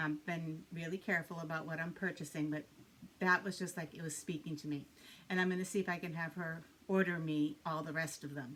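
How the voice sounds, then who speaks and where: A woman's fairly low voice, monotone and flat in intonation, at a fairly quick pace. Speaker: cross-stitch video blogger. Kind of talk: casual chat. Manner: hesitant, many fillers and repeats.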